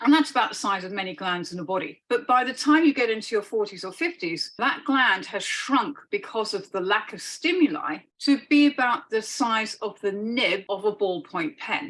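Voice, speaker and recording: With hardly any pauses, a woman talks at a moderate pace in a fairly high pitch that swings very widely. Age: 60s. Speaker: holistic practitioner. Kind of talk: interview.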